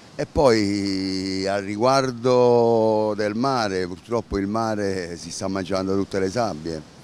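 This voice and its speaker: A man's fairly low voice at a very slow pace, ordinary pitch variation, dry with no echo. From Campania, Italy. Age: 60s. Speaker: beach club manager. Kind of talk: interview. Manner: halting. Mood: bitter, complaining appeal. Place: beach. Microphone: handheld.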